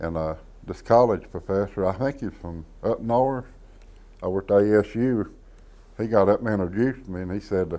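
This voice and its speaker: In an Appalachian accent, a man speaks at a moderate pace with long, frequent pauses. His fairly low voice is dark and mellow, with ordinary pitch variation. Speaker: storyteller. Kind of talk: interview anecdote.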